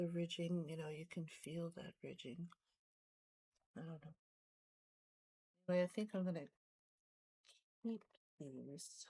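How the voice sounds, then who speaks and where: The speaker is soft-spoken and talks at a fairly slow pace. Long pauses come often. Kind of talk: casual chat. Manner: hesitant.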